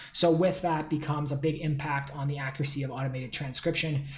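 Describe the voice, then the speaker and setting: Amid audible room echo, a man speaks with a fairly high, somewhat breathy voice in monotone, flat intonation. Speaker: tech company founder. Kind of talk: solo talk to camera. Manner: fast; casual with many fillers.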